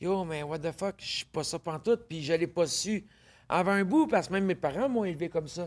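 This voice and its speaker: With a Quebec accent, a woman speaks at a moderate pace and a fairly low pitch, with ordinary pitch variation and big swings in loudness. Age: 40s. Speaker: podcast guest, intersex entrepreneur. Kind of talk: casual interview chat.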